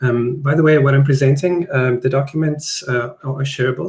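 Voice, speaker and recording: In a South African accent, a man speaks at a moderate pace, somewhat breathy, with fairly even intonation. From South Africa (Johannesburg). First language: Afrikaans. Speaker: product designer. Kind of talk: webinar presentation. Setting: live online stream. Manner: hesitant, many fillers.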